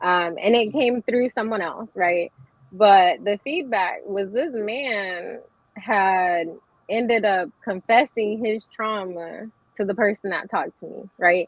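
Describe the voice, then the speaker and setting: The delivery is very slow, in an American accent, with ordinary pitch variation. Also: woman, medium pitch for a woman. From US, military family. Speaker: poet and author. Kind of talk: casual chat.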